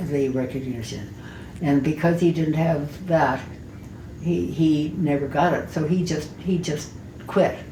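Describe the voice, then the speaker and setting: With an American accent, a woman talks fairly slowly in a very deep, low voice and fairly even intonation over noticeable background noise. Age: 80s+. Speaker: artist. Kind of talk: life story interview.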